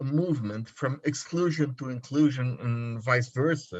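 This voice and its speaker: A man speaks at a fairly slow pace in a somewhat breathy voice with ordinary pitch variation. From Brazil. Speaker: PhD student. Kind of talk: reading aloud a question.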